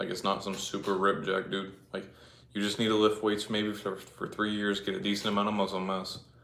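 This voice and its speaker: A man's bright, sharp, monotone voice with flat intonation, in audible room echo. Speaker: fitness livestreamer. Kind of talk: casual livestream chat. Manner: casual, filler-heavy.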